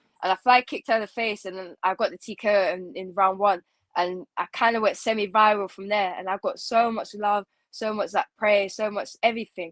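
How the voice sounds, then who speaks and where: Fairly quick and fairly even in intonation, a woman's medium-pitched voice, a plain, everyday voice, shows big swings in loudness in a dry, close sound with no echo and a very clean, silent background. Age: 20s. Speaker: MMA fighter. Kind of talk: interview.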